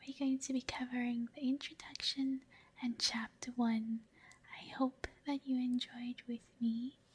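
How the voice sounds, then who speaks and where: A soft-spoken woman talks fairly slowly in a calm tone, her pitch high and her intonation flat and monotone. There is noticeable background noise. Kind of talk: casual intro to viewers. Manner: soft-spoken, calm.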